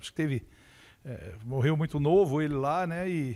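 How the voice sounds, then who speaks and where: A man speaks at a moderate pace. His fairly high pitch moves with lively intonation. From São Paulo state, Brazil (São Carlos). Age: 60s. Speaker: university staff member, science educator. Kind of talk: interview. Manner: hesitant, many fillers.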